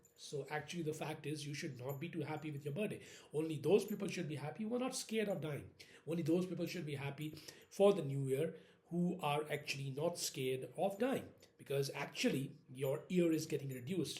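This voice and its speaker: This man has a fairly high pitch and an Indian accent. He speaks at a fairly quick pace with ordinary pitch variation. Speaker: vlogger. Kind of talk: casual monologue. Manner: halting.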